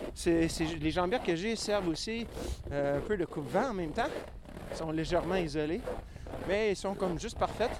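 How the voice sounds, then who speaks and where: A man speaks at a fairly quick pace in a high voice with ordinary pitch variation, leaving long, frequent pauses. Noticeable background noise runs behind him. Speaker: podcast host. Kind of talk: outdoor walking narration. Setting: outdoors on a tundra hike. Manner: hesitant, many fillers.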